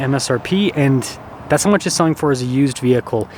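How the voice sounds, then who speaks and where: Noticeable background noise runs under the recording. Over it, a man speaks at a fairly quick pace. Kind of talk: casual, informative car review.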